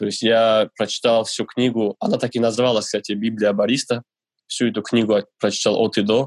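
Dry and close with no echo, a man's voice sits at a fairly low pitch, flat and monotone, at a moderate pace. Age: 20s. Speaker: barista. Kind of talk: interview. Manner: hesitant, many fillers.

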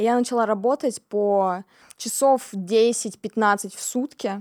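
A woman talks with a normal speaking voice and fairly even intonation. The recording is very clean, with a silent background and a dry, close sound with no echo. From Siberia, Kemerovo. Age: 20s. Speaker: singer-songwriter. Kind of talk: casual interview.

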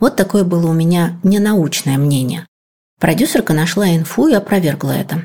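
Her voice is fairly low for a woman, dark and mellow, somewhat breathy, at very even loudness, with a moderate pace and ordinary pitch variation. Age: 40s. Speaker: podcast producer. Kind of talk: casual chat.

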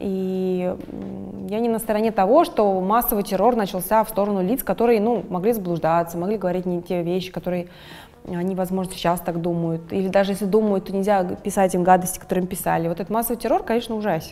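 A woman at a very fast pace, medium in pitch, with fairly even intonation. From Russia. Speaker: fashion designer. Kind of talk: interview.

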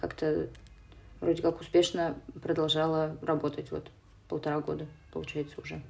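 A woman speaks at a moderate pace. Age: 20s. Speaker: theatre producer. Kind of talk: casual chat.

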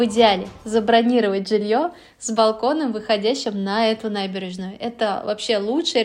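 A woman's fairly high-pitched, ordinary speaking voice, with fairly even intonation at a moderate pace. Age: 30s. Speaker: podcast host. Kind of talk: solo podcast narration.

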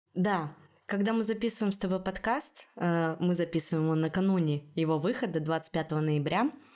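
A woman speaks at a fairly slow pace in a fairly low pitch, her tone dark and mellow. Her pitch varies in an ordinary way, and the recording is very clean with a silent background. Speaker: podcast host, journalist. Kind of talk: casual chat, news discussion.

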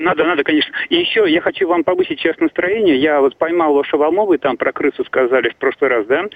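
A man talks at a very fast pace with hardly any pauses. His fairly high pitch varies in an ordinary way, and his loudness stays very even. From Russia, Saint Petersburg. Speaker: caller. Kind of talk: phone-in call. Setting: phone call. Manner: halting.

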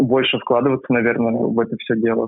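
This man talks at a fairly quick pace in a flat monotone. His pitch sits in the medium range. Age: 20s. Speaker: university student, volunteer swim coach. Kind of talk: interview.

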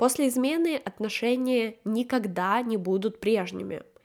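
A woman talks in a dark, mellow tone, with her pitch varying in an ordinary way. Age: 20s. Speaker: podcast host, book club organizer. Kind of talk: solo book review podcast.

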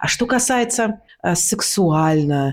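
Her words come out very slowly. The woman's intonation is lively throughout. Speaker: actress and speech teacher. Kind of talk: casual interview chat. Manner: clear diction, articulate.

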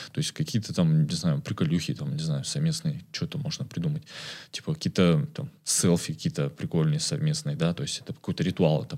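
The speech has vocal fry, a fairly quick pace, and very wide pitch swings. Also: man, fairly high pitch for a man. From Kazakhstan, Karaganda. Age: 20s. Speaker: community manager. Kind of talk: casual chat.

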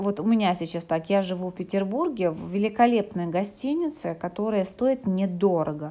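A woman's medium-pitched voice, a normal speaking voice, at a moderate pace with lively intonation and hardly any pauses. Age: 30s. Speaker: psychologist and coach. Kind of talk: podcast monologue. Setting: hotel room while travelling.

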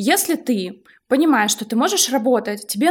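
This woman's voice is high in pitch. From Russia, outside Moscow. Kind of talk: casual chat.

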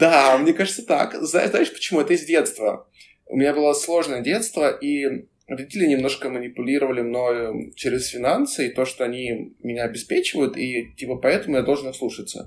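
Fairly high for a man, his unremarkable speaking voice moves at a moderate pace with ordinary pitch variation. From Moscow, Russia. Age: 20s. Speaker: career coach. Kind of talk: casual chat.

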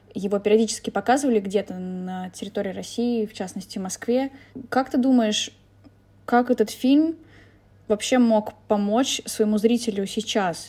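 Somewhat breathy and dark, mellow in tone, a woman speaks at a fairly high pitch and moderate pace with ordinary pitch variation and long, frequent pauses. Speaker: podcast host. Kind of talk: casual interview.

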